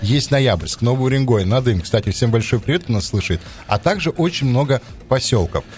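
Over noticeable background noise, the speaker moves at a fairly quick pace with very even loudness and lively intonation. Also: man, medium pitch for a man. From Yamal, Russian Far North. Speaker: podcast co-host. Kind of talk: casual chat.

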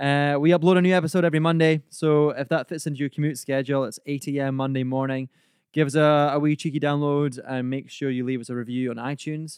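A man speaks very fast at a fairly high pitch, his intonation fairly even, in a dry, close recording with no echo. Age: 20s. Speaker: podcast host. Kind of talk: casual chat.

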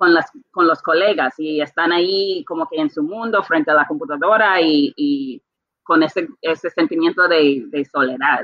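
A woman talks at a fairly slow pace in an ordinary speaking voice. Her pitch is fairly low, and her intonation is lively. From Bermuda. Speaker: translator. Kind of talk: interview.

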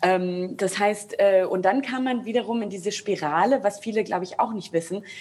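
Using an ordinary speaking voice of medium pitch, a woman talks at a moderate pace with ordinary pitch variation and hardly any pauses. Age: 30s. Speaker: opera singer. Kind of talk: panel discussion. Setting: video call.

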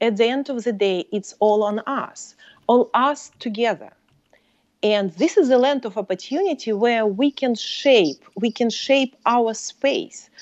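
Delivered at a very slow pace, the voice carries a Russian accent and lively intonation. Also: woman. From Soviet Union. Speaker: professor and author. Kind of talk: casual interview.

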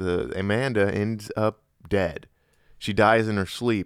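In a very clean recording with a silent background, a man with a plain, everyday voice speaks at a fairly slow pace, his fairly low pitch held in fairly even intonation. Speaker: podcast co-host. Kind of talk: casual comedic chat with freestyle rap.

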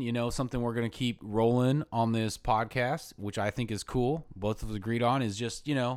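With an American accent, a man speaks at a fairly quick pace in a very clean recording with a silent background. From Florida (Ocala). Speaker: music video director and co-host. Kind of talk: casual chat. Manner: talkative.

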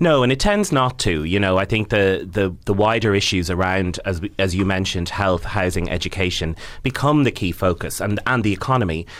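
With an Irish accent and a fairly low pitch, a man talks at a fairly quick pace, hardly pausing and keeping his loudness very even. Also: ordinary pitch variation. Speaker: arts campaigner and theatre director. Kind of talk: interview.

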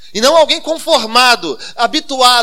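A man projects his raised voice at an extremely high pitch. His tone is bright and sharp, with lively intonation. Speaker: pastor. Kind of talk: sermon. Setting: church.

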